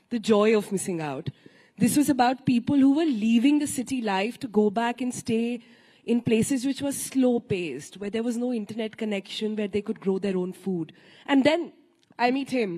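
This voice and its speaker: With lively intonation and a dark, mellow tone, the voice is somewhat breathy and moves at a moderate pace. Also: woman, fairly high pitch for a woman. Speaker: panel moderator. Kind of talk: panel interview.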